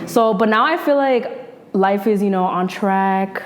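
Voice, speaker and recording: Through noticeable background noise, a woman with a New York accent speaks at a medium pitch. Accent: New York metro American English. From New Jersey (North Jersey). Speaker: journalist and podcaster. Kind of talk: casual interview chat.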